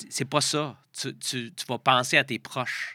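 The voice has a bright, sharp tone with a Quebec accent. The recording is very clean, with a silent background. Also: man. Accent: Québécois French. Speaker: triathlon coach. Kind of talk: casual interview.

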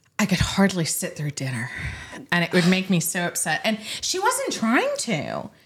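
At a moderate pace, a woman talks while noticeable background noise carries on. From Middle Tennessee. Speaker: lawyer and podcast host. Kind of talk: casual legal discussion. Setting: studio at a bar table, also on video.

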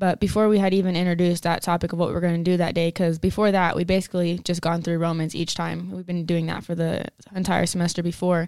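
Talking very fast with hardly any pauses, a woman keeps a fairly low pitch and a monotone, flat intonation. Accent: American. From West Texas (Denver City, near Lubbock). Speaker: college basketball player. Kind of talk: testimony.

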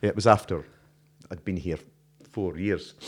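A man talks with a Scottish accent. His pitch is very deep and low. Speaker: podcast host and former radio presenter. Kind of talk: casual chat. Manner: laughs often, easygoing.

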